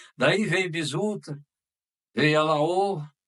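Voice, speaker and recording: A man at a fairly high pitch and very slow pace, with ordinary pitch variation. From Mato Grosso, Brazil (Guiratinga). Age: 80s+. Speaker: elderly local resident. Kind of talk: oral history interview.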